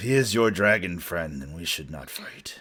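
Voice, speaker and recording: A man does a put-on character voice, raspy and very deep and low. He goes at a moderate pace. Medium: actual play. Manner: blunt, simple speech.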